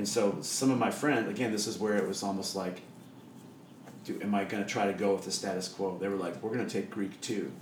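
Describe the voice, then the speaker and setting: A man with an American accent talks at a fairly quick pace in a fairly low voice with fairly even intonation. Noticeable background noise and audible room echo are present in the recording. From Iowa, Des Moines. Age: 40s. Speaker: church worship leader. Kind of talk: casual chat. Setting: home kitchen.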